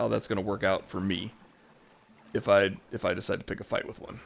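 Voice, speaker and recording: A man's fairly low voice at a very fast pace. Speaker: gaming streamer. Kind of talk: live gameplay commentary. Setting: home livestream. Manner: casual, with many fillers.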